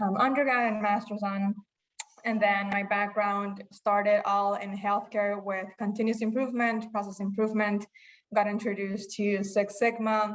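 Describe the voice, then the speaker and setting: A woman talks at medium pitch with monotone, flat intonation. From Bolivia. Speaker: engineer, member introducing herself. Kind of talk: self-introduction.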